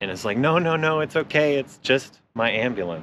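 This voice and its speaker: With a bright, sharp tone, a man talks at a moderate pace over light background noise, the sound dry with no echo. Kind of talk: casual tour chat. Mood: relaxed, cheerful. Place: street.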